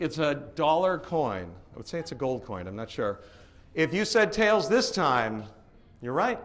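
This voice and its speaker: A man's fairly high voice with an American accent and vocal fry, very wide pitch swings, big swings in loudness and a fairly slow pace. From Boston, Massachusetts area. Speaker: professional live auctioneer and event emcee. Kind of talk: live event emcee running a crowd game. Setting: hotel ballroom with a crowd.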